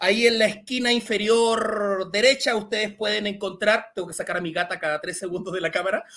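A high-pitched man's voice at a fairly quick pace with hardly any pauses, plus ordinary pitch variation. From Chile. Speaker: science communicator. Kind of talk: Q&A talk; lecture.

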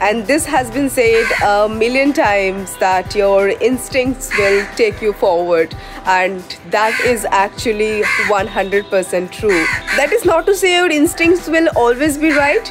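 The voice moves at a fairly slow pace while clear music plays in the background. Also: woman. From India. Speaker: travel writer and vlogger. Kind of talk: casual talk to camera. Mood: calm, earnest advice. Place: garden. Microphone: phone near.

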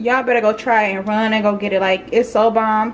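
A woman speaks with ordinary pitch variation. Light background noise is present. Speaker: home cook vlogger. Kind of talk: casual vlog chat. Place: kitchen. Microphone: phone near.

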